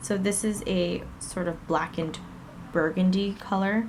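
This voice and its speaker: Room echo around a woman's voice of middling pitch. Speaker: beauty vlogger. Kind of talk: tutorial.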